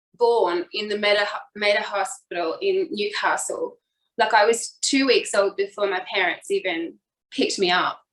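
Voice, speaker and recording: A woman with an Australian accent, fairly high in pitch, at a moderate pace with ordinary pitch variation. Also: long, frequent pauses. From Australia, New South Wales. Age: 40s. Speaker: fitness instructor. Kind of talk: personal life story in interview.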